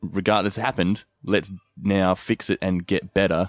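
In an Australian accent, a man with a very deep, low pitch speaks in an enthusiastic tone at a moderate pace, with a dry, close sound with no echo and a quiet background. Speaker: podcast host. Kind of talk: interview. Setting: on location at the roastery.

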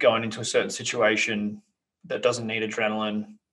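A man speaks with an Australian accent. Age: 30s. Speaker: podcast host. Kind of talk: interview.

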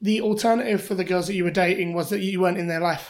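The pace here is very fast. The speaker is a woman. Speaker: podcast host. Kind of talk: casual chat.

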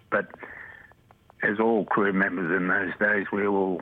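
Noticeable background noise sits behind a man with a fairly low pitch. He speaks at a fairly slow pace in a monotone, flat intonation. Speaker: former flight purser. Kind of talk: interview recollection. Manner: emotional, slightly shaky at times.

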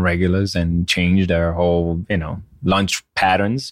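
In a very clean recording with a silent background, a man with an Israeli accent speaks fairly slowly in a very deep, low voice with monotone, flat intonation. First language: Hebrew. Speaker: chef and restaurant owner. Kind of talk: interview.

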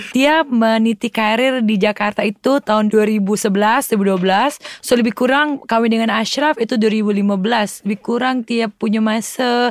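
At a very slow pace and very even loudness, a woman with a fairly high pitch speaks with fairly even intonation and hardly any pauses, the sound dry and close with no echo. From Indonesia, Palembang, Sumatra. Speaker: actress and businesswoman. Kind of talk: casual interview.

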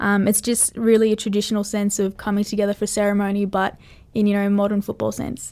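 A woman with an Australian accent talks at a very fast pace in a medium pitch. Her intonation is monotone and flat, and the recording is very clean with a silent background. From western New South Wales, Australia. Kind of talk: casual interview.

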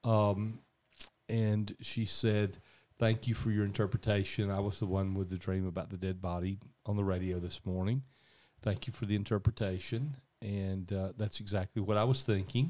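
With a Southern US accent and a dark, mellow tone, the speaker talks at a moderate pace with fairly even intonation on a very clean recording with a silent background. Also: man, fairly low pitch for a man. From US South. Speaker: podcast host and radio dream interpreter. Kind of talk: casual chat. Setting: home garage studio.

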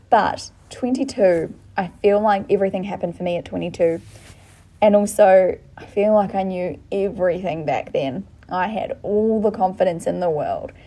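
With an Australian accent, a woman of medium pitch speaks at a moderate pace with ordinary pitch variation and big swings in loudness. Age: 20s. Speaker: podcast co-host. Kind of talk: casual chat.

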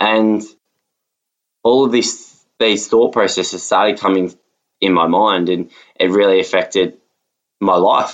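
This is a man speaking. He talks with an Australian accent. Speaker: podcast host. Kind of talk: personal testimony.

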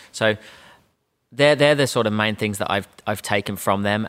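With a bright, sharp tone, a man speaks at a fairly low pitch and with fairly even intonation. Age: 30s. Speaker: sales trainer and business owner. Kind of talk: interview.

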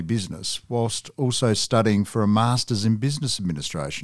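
On a very clean recording with a silent background, a man in a normal speaking voice talks at a moderate pace and medium pitch with ordinary pitch variation. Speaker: podcast interviewer. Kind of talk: interview. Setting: studio.

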